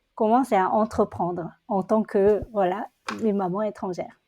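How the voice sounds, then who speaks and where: Speaking at a very slow pace over a quiet background, a woman with a Korean accent has a dark, mellow tone at medium pitch. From South Korea. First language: Korean (speaking French). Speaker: entrepreneur. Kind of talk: interview conversation. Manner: halting.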